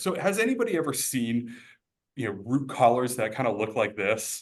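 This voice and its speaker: Lively intonation and a fairly quick pace from a man at medium pitch, with audible room echo. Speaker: arborist. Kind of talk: webinar lecture. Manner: hesitant, many fillers.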